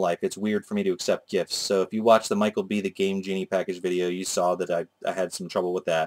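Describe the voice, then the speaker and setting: Recorded with a dry, close sound and no echo, a man talks at a very fast pace with ordinary pitch variation. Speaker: video game collector youtuber. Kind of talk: casual vlog. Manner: slurred speech.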